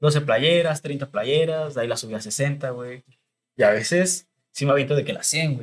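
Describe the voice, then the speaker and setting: A man speaks at a moderate pace with a fairly high pitch, a somewhat breathy voice and ordinary pitch variation. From Mexico, Estado de México (Chalco). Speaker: clothing brand founder. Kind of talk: casual chat.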